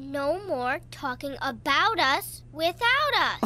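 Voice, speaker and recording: A cartoonish character voice drags along at a very slow pace. Clear background noise runs underneath. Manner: firm, defiant.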